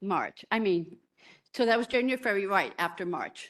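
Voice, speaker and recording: An unremarkable speaking voice with ordinary pitch variation is heard against a quiet background. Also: woman. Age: 60s. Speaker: nurse, member of the public giving comment. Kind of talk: public hearing testimony.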